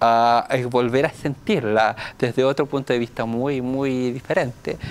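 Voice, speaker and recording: This man speaks with a Chilean accent at a medium pitch. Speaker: deaf dancer. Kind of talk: casual chat.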